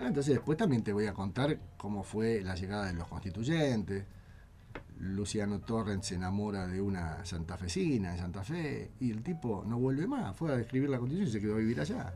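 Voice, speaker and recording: The room echo is audible as a man talks at a fairly quick pace. His pitch is fairly low and his intonation lively. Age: 50s. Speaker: constitutional lawyer and author. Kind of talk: interview about his book.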